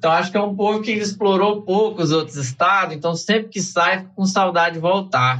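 A man speaks in a high pitch. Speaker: biologist. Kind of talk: casual chat.

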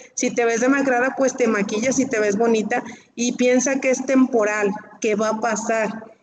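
Over noticeable background noise, a woman speaks at a high pitch and moderate pace in a monotone, flat intonation. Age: 40s. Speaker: breast cancer patient. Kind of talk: testimony.

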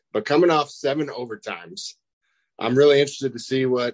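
At a fairly quick pace and with fairly even intonation, an ordinary speaking voice carries an American accent in a dry, close sound with no echo. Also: man. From Kansas. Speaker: sports podcast co-host. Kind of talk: casual sports talk. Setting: video call.

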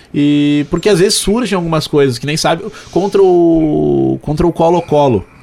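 There is noticeable background noise behind this man. He talks at a moderate pace with a fairly high pitch and ordinary pitch variation. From Porto Alegre, southern Brazil. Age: 20s. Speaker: sports radio commentator. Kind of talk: casual interview.

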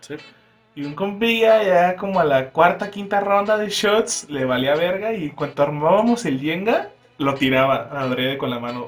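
A high-pitched man's voice with lively intonation at a fairly slow pace, music playing in the background. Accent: Mexican. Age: young. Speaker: podcast co-host. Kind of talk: casual chat. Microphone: far from the mic.

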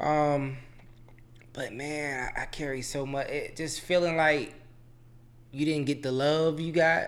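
A man with a fairly high pitch speaks at a very slow pace in a monotone, flat intonation, with long, frequent pauses. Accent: Southern Virginia. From Chesterfield, Virginia. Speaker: guest. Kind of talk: casual chat.

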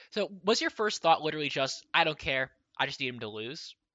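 Using an unremarkable speaking voice, a man talks at a fairly quick pace with lively intonation. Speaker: podcast host. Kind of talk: casual interview.

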